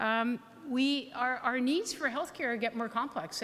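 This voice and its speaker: Here is a woman with a plain, everyday voice and a Canadian accent, her pitch fairly high. She speaks at a moderate pace with ordinary pitch variation. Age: 60s. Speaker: health authority board chair and physician. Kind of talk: keynote speech. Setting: hall with audience.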